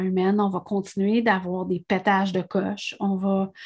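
A woman with a Quebec accent speaks at a medium pitch, somewhat breathy. The background is quiet. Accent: Québécois French. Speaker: podcast host, energy and spirituality coach. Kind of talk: solo podcast monologue. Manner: hesitant, many fillers and repetitions.

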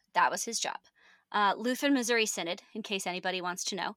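Speaking with an American accent, a woman sounds animated, with a bright, sharp tone at medium pitch and ordinary pitch variation. The recording is very clean, with a silent background. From Northern California. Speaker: podcast co-host. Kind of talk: casual chat, podcast conversation. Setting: home closet recording. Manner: animated, chatty, laughs often.

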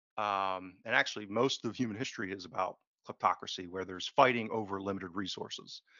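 A man speaks at a fairly quick pace in a fairly low pitch. He has an American accent and a plain, everyday voice. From United States. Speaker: financial analyst. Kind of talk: interview conversation.

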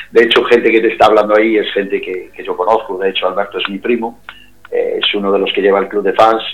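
A man with a Galician accent at a very fast pace, with noticeable background noise. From Galicia, A Coruña province, Spain. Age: 50s. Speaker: singer. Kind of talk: interview.

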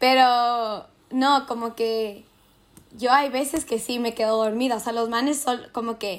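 Speaking fairly slowly, a woman uses a high pitch. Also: fairly even intonation. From Ecuador (Quito). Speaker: podcast co-host, university student. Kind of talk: casual chat.

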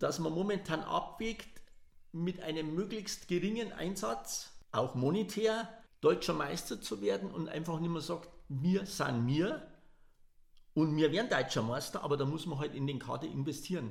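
Vocal fry and lively intonation at a moderate pace. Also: man, fairly high pitch for a man. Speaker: football fan. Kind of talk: casual chat. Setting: large room.

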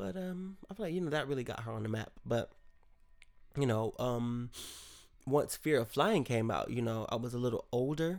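A man with an American accent and a medium pitch speaks at a moderate pace in an animated tone, his intonation lively, with long, frequent pauses. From Rochester, New York. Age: 20s. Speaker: podcast host. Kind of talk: casual solo monologue. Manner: rambling, animated.

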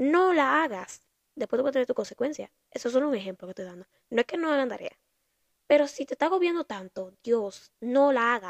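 A woman with a Dominican accent speaks in a high voice with lively intonation at a fairly quick pace. The sound is dry and close, with no echo. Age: 20s. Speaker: podcast host, university student. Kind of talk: casual monologue.

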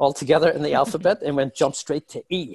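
The sound is dry and close with no echo as a man speaks at a fairly high pitch. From Ireland. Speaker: software executive. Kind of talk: interview. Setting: podcast. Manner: animated.

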